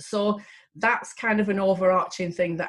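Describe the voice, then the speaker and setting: A woman speaks with a Lancashire accent. Her voice is somewhat breathy. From Lancashire, northern England. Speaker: psychotherapist and coach. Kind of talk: casual talk to camera. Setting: video recording. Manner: direct, plain-spoken; hesitant, with fillers and repeats.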